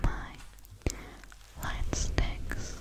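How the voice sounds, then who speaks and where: A soft-spoken woman whispers. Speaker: ASMR creator. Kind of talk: soft ASMR roleplay talk. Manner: soft close-mic ASMR whisper. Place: home room. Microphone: studio mic.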